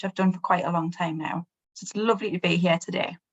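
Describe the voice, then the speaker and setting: In an English accent, a woman talks at a fairly quick pace with fairly even intonation. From England. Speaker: nursing professor. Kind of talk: panel discussion.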